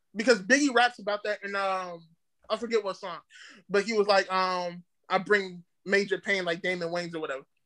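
In an American accent, a man talks at a fairly quick pace in a raised, projected voice, his high pitch carrying a bright, sharp tone with fairly even intonation, on a very clean recording with a silent background. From DMV area (DC, Maryland, Virginia). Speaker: rapper and internet comedian. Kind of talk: casual chat. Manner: loud.

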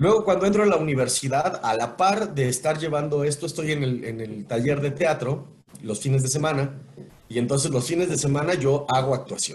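A man's fairly high voice, somewhat breathy, at a fairly quick pace. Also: ordinary pitch variation. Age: 40s. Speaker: voice actor and announcer. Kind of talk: casual interview. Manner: animated.

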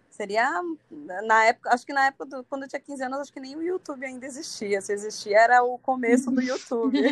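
This woman talks very fast in a high voice, her volume rising and falling sharply. The sound is dry and close, without any echo. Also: ordinary pitch variation. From Santos, São Paulo coast, Brazil. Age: 30s. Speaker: singer. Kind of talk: casual interview chat.

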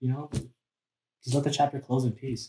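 In a somewhat breathy voice, a man rushes along at a very fast pace. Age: 20s. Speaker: multidisciplinary artist and photographer. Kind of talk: casual chat. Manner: halting.

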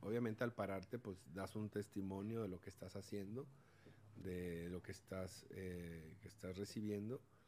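This man has an ordinary speaking voice pitched fairly low. He speaks at a fairly slow pace with fairly even intonation. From Mexico, Sinaloa (Los Mochis), raised from 14 in Monterrey. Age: 40s. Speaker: former professional footballer and sports academy owner. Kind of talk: testimony-style interview.

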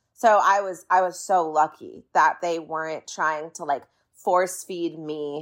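In a very clean recording with a silent background, a woman talks at a moderate pace in an American accent. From Orange County, California. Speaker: singer-songwriter. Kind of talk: interview.

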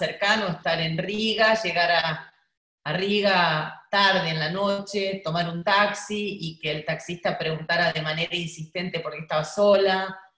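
A woman with a Rioplatense accent, fairly low in pitch, at a fairly slow pace with ordinary pitch variation. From Buenos Aires, Argentina. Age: 50s. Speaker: travel journalist and writer. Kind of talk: interview.

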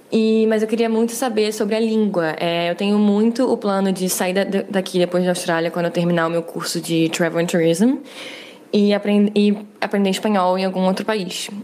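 Her intonation is fairly even as a woman speaks at very even loudness. Background noise is noticeable. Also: medium pitch for a woman, moderate pace. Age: 20s. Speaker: listener sending a question. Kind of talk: recorded voice message.

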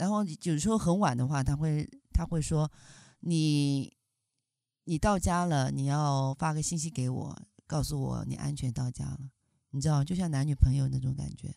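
In a very clean recording with a silent background, a woman with a very deep, low pitch and a dark, mellow tone speaks with long, frequent pauses. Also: ordinary pitch variation, moderate pace. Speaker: podcast co-host. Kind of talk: casual chat.

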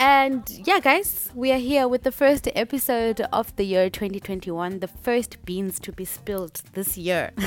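A woman's fairly high voice at a fairly slow pace, with hardly any pauses. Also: lively intonation. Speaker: podcast host. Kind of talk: casual interview chat. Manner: animated.

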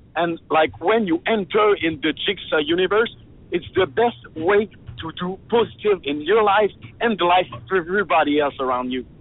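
Speaking with a French accent, a man uses a high pitch, lively intonation and a moderate pace. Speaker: free hugs activist. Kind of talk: casual interview chat. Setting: phone call.

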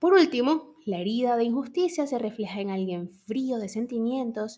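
A woman's fairly high voice comes across somewhat breathy, with a dark, mellow tone. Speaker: podcast host, psychology. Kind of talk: educational monologue. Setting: home recording, early morning.

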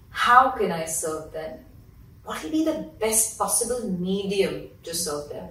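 A woman's medium-pitched voice at a fairly slow pace, with very wide pitch swings, big swings in loudness and noticeable background noise. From India (Mumbai). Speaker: parenting influencer and entrepreneur. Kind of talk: interview.

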